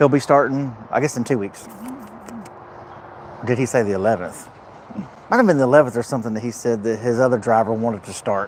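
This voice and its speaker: Over noticeable background noise, a man with a medium pitch talks very fast in an animated tone, broken by long, frequent pauses. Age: 50s. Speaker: truck driver vlogger. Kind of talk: casual live vlog chat. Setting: truck repair shop. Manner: repetitive, animated.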